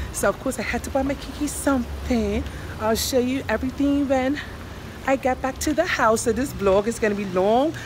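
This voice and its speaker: The speech moves at a fairly quick pace with ordinary pitch variation. Noticeable background noise runs underneath. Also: woman. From Bermuda. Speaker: doll hobby vlogger. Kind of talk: casual vlog. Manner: animated. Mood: cheerful, chatty.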